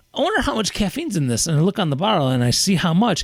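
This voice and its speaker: A man talks at a very fast pace in an animated tone. Noticeable background noise can be heard. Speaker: podcast co-host and teacher. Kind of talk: casual chat.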